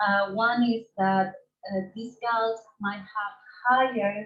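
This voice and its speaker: The voice is somewhat breathy and moves at a very slow pace. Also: woman. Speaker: ecology researcher. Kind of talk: conference presentation. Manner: halting, many fillers.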